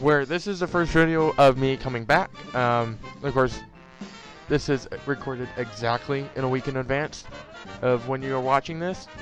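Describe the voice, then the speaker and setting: A man with a medium pitch, with music in the background. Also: ordinary pitch variation, moderate pace. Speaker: gaming youtuber. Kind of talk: podcast talk to audience. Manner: hesitant, many filler words.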